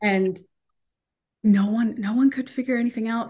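Here a woman with a normal speaking voice speaks at a moderate pace with ordinary pitch variation. The background is quiet. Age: 40s. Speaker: motivational speaker and coach. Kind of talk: interview.

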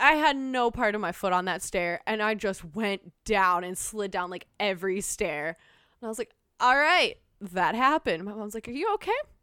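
A woman speaks at a moderate pace with lively intonation, her fairly high voice bright and sharp. The recording is very clean, the background silent. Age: 20s. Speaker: podcast guest. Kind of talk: casual chat.

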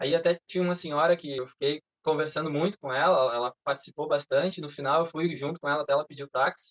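A man talks in an ordinary speaking voice. His pitch is fairly high and his pace fairly quick. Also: hardly any pauses. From southern Brazil (Canela, Rio Grande do Sul). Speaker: chemical engineer. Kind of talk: casual chat.

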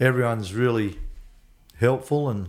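This man has an Australian accent. He talks at a moderate pace. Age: 60s. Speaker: athlete's father. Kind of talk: casual chat.

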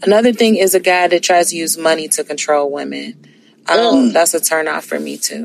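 Against noticeable background noise, a woman with a fairly low pitch speaks at a fairly quick pace with lively intonation. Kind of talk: casual chat.

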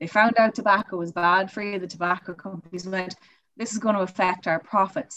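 With an Irish accent, a woman speaks at a fairly quick pace and a medium pitch. Her tone is bright and sharp, and her intonation fairly even. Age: 20s. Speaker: university student and campus sustainability officer. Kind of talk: casual chat. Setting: video call.

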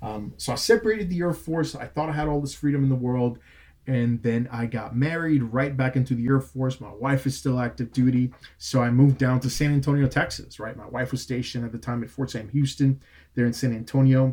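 With a Puerto Rican accent, a man talks at a medium pitch. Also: ordinary pitch variation. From Puerto Rico (Bayamón). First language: Spanish. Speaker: director of admissions, Air Force veteran. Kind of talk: interview.

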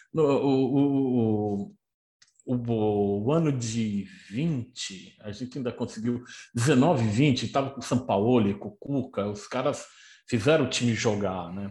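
A man speaks at a very slow pace with a medium pitch and a dark, mellow tone, his loudness swinging widely against a quiet background. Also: ordinary pitch variation. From Brazil, São Paulo city. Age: 60s. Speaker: football historian and author. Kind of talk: casual chat.

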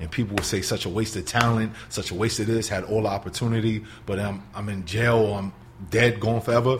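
In a New York accent, a man with a fairly low voice speaks very fast with fairly even intonation. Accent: New York City. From New York City, the Bronx. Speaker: motivational speaker and substitute teacher. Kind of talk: interview, telling his life story. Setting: studio.

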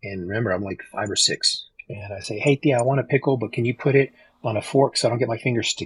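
Against a quiet background, a man talks at a very fast pace in a somewhat breathy voice with ordinary pitch variation, the sound dry and close with no echo. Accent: American. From Texas. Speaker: podcast guest sharing life stories. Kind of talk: casual chat.

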